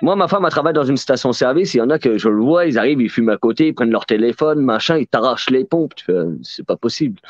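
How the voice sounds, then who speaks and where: Recorded with a dry, close sound with no echo and a quiet background, a man with a fairly high pitch speaks at a very fast pace with lively intonation. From France. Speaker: book fair organizer and host. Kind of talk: casual live chat. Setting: video call.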